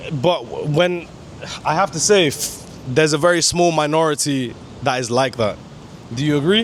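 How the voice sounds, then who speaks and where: Amid noticeable background noise, a speaker with an American accent keeps a moderate pace with ordinary pitch variation and long, frequent pauses. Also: man, fairly high pitch for a man. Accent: foreign-sounding accent to locals. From US, San Diego area, Filipino heritage. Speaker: travel vlogger. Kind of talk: casual interview chat.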